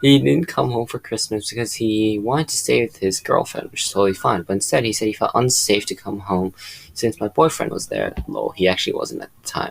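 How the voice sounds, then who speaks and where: A man with a non-native accent talks at a fairly quick pace. He leaves hardly any pauses. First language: not English. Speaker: reddit story narrator. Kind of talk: reading aloud.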